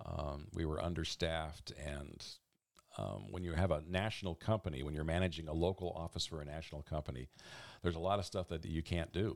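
In a very clean recording with a silent background, a man with an American accent uses a very deep, low pitch, vocal fry and ordinary pitch variation. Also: fairly quick pace. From Oregon, US Pacific Northwest (Eugene). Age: 60s. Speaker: radio volunteer and office supervisor. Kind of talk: interview storytelling. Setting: at home, in his office.

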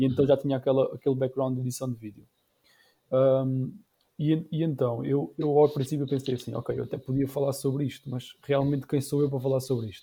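A man talks at a fairly quick pace and medium pitch, his tone dark and mellow. His voice is somewhat breathy, and his intonation stays fairly even. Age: 30s. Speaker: YouTuber and entrepreneur. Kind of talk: casual chat.

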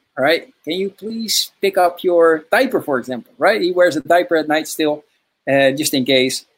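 Lively in intonation and high in pitch, a man with a Dutch accent speaks at a moderate pace. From Netherlands. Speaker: podcast host, father coach. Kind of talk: casual interview. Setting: video call.

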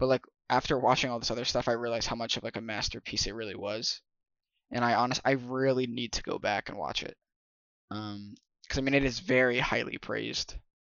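Using a plain, everyday voice, a man at medium pitch talks at a fairly quick pace with fairly even intonation. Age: 20s. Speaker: podcast co-host. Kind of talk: casual chat.

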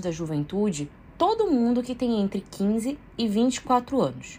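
A woman's somewhat breathy, fairly high voice moves through very wide pitch swings at a fairly slow pace. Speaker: history column presenter. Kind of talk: scripted column reading.

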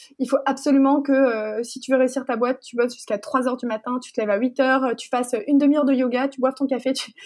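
A high-pitched woman speaks at a very fast pace with monotone, flat intonation and big swings in loudness. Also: hardly any pauses. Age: 20s. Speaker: entrepreneur. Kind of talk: interview.

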